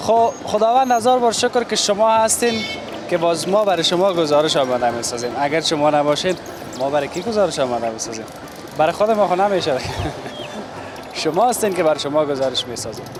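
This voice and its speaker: A man speaks very fast in a high voice, with very wide swings in pitch and long, frequent pauses. Noticeable noise sits in the background. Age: 30s. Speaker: street reporter. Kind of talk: on-location TV report.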